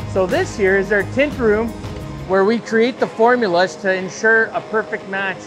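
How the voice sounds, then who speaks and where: Clear music plays in the background as the voice moves at a moderate pace. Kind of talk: guided tour explanation. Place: workshop.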